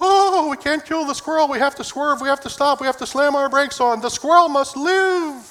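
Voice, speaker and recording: A man speaks in a put-on character voice, extremely high in pitch. He goes at a fairly quick pace with hardly any pauses. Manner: exaggerated, dramatic, pleading.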